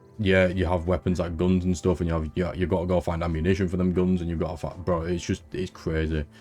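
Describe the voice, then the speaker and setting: In a British accent, a man talks very fast with hardly any pauses. His voice is very deep and low, with a dark, mellow tone. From UK. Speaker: gaming YouTuber. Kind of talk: casual chat. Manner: animated.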